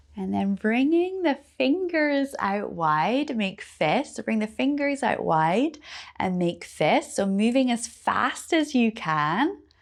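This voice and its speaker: In a Scottish accent, a woman with a fairly high pitch and a calm, soothing tone speaks at a very slow pace with very wide pitch swings and hardly any pauses. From Scotland. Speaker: yoga teacher. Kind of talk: guided yoga class instruction.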